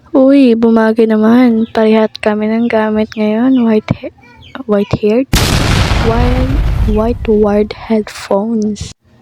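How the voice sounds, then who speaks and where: A woman's fairly high, monotone, flat voice at a fairly slow pace, dry and close with no echo, over noticeable background noise. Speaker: gaming youtuber. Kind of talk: gameplay commentary.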